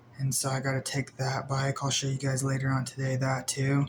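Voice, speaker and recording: Somewhat breathy male speech, fairly high in pitch, delivered at a moderate tempo. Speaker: vlogger. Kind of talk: casual vlog talk. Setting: indoors in apartment.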